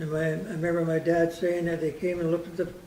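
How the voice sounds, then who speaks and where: Audible room echo surrounds a man who speaks at a very fast pace in a high pitch. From Canada, Vancouver Island (Saanich area). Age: 80s+. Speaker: local elder speaking on community history. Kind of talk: informal talk to a local audience. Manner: rambling, hesitant.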